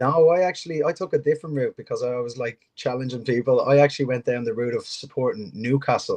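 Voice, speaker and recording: A man in a strong Irish accent at a medium pitch with ordinary pitch variation, talking at a very fast pace with hardly any pauses, in a dry, close sound with no echo. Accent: thick Irish. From Ireland. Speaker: football coach. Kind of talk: interview. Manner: hesitant, many fillers.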